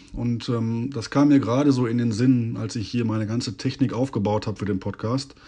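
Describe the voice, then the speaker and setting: With a dark, mellow tone, a man at medium pitch talks with hardly any pauses and fairly even intonation. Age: 40s. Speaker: podcast host. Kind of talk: personal monologue. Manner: hesitant with filler sounds.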